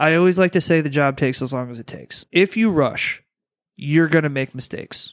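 A normal speaking voice moves at a fairly quick pace with ordinary pitch variation. The recording is very clean, with a silent background and dry, close sound with no echo. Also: man. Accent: American. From Detroit, Michigan. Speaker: plumber. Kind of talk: casual chat.

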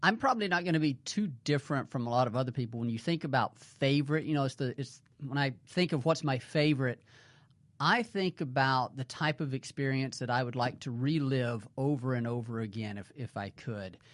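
In an American accent, a man speaks at a fairly quick pace against a quiet background. His is a plain, everyday voice, medium in pitch with ordinary pitch variation. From US South, north central Mississippi. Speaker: waterfowl conservation biologist. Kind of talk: casual interview.

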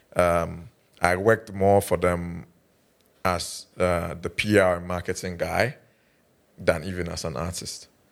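Fairly slow speech with long, frequent pauses, fairly even intonation and big swings in loudness. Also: man, very deep, low pitch for a man, very clean recording, silent background. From Ghana, Ashanti region (Kumasi). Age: 30s. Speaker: rapper. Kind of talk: casual interview.

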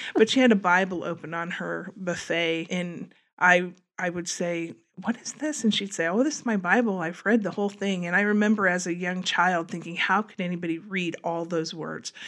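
A woman with an American accent speaks at a moderate pace against a quiet background. She has an ordinary speaking voice with ordinary pitch variation. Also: medium pitch for a woman. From US Midwest, Wabash, Indiana. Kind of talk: faith testimony.

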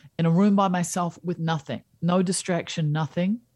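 The voice has a dark, mellow tone and fairly even intonation at a fairly slow pace, in a dry, close sound with no echo. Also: woman. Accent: New Zealand. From New Zealand. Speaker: happiness coach and teacher. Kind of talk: podcast interview. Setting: remote call.

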